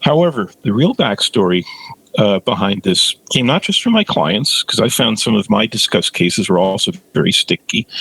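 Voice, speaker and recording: A man at a moderate pace, his loudness very even, in a dry, close sound with no echo. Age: 60s. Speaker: OCD therapist. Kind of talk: interview.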